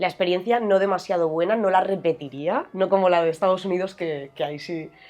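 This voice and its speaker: Music plays behind a woman who speaks at a moderate pace with fairly even intonation. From Spain, Murcia. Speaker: philosophy researcher and university lecturer. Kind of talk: interview.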